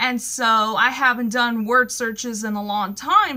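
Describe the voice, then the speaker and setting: A woman with an American accent speaks at a fairly slow pace. Her raised, projected voice has a bright, sharp tone. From US West, California. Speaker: vlogger. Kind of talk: casual personal vlog monologue. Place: home room. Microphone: phone near.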